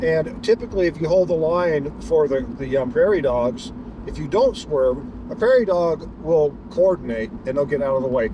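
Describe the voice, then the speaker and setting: Noticeable background noise runs under a man speaking at a moderate pace with a fairly high pitch. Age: 60s. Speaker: delivery driver vlogger. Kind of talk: casual driving vlog narration. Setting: in a car. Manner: halting, many repetitions and fillers.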